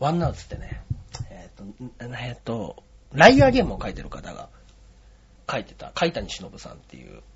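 Speaking at a fairly quick pace, a man leaves long, frequent pauses and swings widely in loudness. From Osaka, later Yokohama. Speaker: comedian. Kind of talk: interview.

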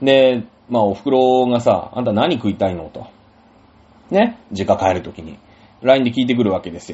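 Speaking at a moderate pace with long, frequent pauses, a man with a medium pitch uses lively intonation and big swings in loudness. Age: 40s. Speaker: podcast host. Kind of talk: casual solo talk.

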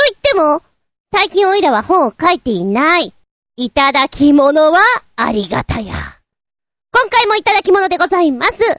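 Pitch swings very widely, broken by long, frequent pauses. The sound is dry and close with no echo. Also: woman, extremely high pitch for a woman, moderate pace. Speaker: podcast host. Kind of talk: casual chat. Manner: casual, chatty.

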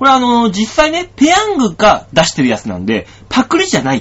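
At a moderate pace, a man talks in an animated tone with very wide pitch swings. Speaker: comedian and radio host. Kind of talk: casual solo radio talk. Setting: studio. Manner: animated, frequent laughter.

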